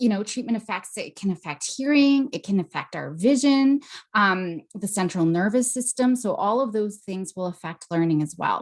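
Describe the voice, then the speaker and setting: Fairly high-pitched and somewhat breathy, a woman speaks with lively intonation at a moderate pace, hardly any pauses, against a quiet background. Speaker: psychologist. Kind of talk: webinar presentation.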